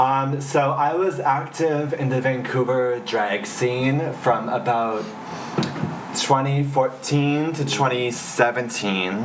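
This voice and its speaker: At a very slow pace, a man speaks with a medium pitch and ordinary pitch variation. Audible room echo and noticeable background noise fill the recording. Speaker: drag performer. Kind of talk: casual chat. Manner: loud.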